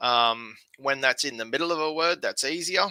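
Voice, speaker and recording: A man with an Australian accent speaks at a moderate pace, his pitch fairly high with lively intonation. His tone is bright and sharp, and the sound is dry and close with no echo. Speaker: language learner teaching online. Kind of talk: tutorial. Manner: hesitant, many fillers.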